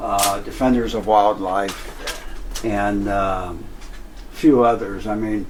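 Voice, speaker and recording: A man speaks very slowly at a fairly low pitch with fairly even intonation. Audible room echo and noticeable background noise come through. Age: 70s. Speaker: roadside attraction owner, animal rescuer. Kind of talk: casual interview. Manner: hesitant, many fillers.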